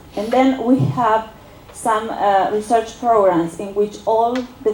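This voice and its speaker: A woman speaks in an Argentine accent at a fairly slow pace. Her pitch is fairly high with ordinary variation, over noticeable background noise. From Argentina. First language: Spanish. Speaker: political science researcher. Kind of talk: academic seminar talk. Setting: university seminar with audience. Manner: halting, many fillers.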